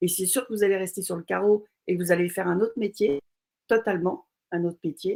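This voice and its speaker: The woman's pitch shifts in an ordinary way. She talks at a moderate tempo. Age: 60s. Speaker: entrepreneur. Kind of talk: interview.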